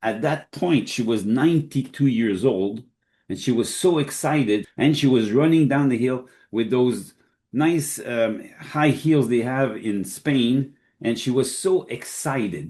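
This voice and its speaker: A man speaks at a fairly slow pace, his medium-pitched voice carrying a dark, mellow tone. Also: ordinary pitch variation. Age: 70s. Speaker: health industry expert. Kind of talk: podcast Q&A interview.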